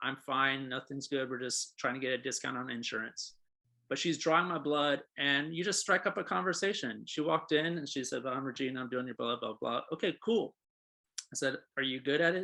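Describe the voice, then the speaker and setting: Over a quiet background, a man with a fairly high pitch and a bright, sharp tone speaks at a fairly quick pace. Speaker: real estate agent and trainer. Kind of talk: training session. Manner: fast; casual, conversational.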